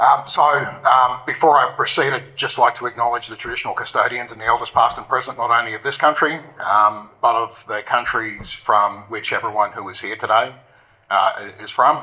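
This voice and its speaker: A man at a moderate pace and medium pitch, with fairly even intonation, big swings in loudness, and noticeable background noise. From Australia, North Queensland. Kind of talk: conference presentation. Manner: halting, many fillers.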